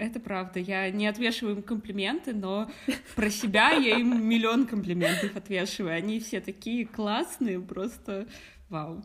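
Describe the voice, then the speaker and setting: Over noticeable background noise, a woman with a non-native accent and a fairly high pitch talks at a fairly slow pace with ordinary pitch variation. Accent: foreign accent in German. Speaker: podcast co-host. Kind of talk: casual chat.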